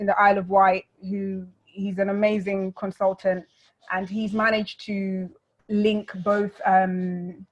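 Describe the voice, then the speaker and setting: In a London accent, a woman talks at medium pitch with flat, monotone intonation. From London, England (born South Sudan). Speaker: refugee speaker.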